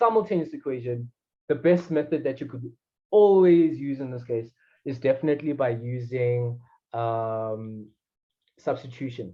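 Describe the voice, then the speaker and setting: Man with a dark, mellow tone, somewhat breathy, moderate pace and ordinary pitch variation. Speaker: math tutor. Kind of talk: tutoring session. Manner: halting.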